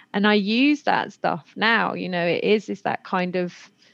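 A woman with a British accent talks over a quiet background. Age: 30s. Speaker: podcast host. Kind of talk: casual interview chat.

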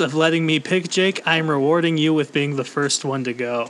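A man is speaking at a fairly high pitch. He has a normal speaking voice. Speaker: podcast host. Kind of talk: casual chat.

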